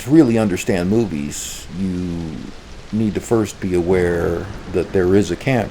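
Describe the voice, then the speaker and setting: With noticeable background noise behind him, a man speaks at a fairly slow pace in a very deep, low voice with ordinary pitch variation. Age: old. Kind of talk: casual talk to camera.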